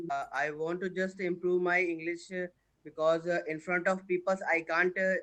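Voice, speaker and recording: Speaking at a high pitch, a man with a bright, sharp tone keeps a monotone, flat intonation. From India, Uttar Pradesh. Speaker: English learner. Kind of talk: casual chat. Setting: video call. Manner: halting.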